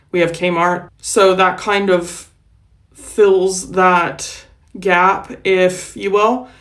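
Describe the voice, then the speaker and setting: With an American accent, a woman speaks at a very slow pace in a monotone, flat intonation, and audible room echo surrounds her voice. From United States. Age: 40s. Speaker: vlogger. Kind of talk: casual vlog talk. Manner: slurs words.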